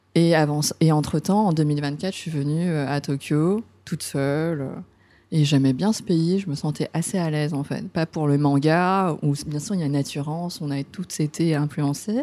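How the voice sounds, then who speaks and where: The voice has a dark, mellow tone, moving at a moderate pace with fairly even intonation. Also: woman, very deep, low pitch for a woman. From France. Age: 40s. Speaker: hairdresser. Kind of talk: casual interview.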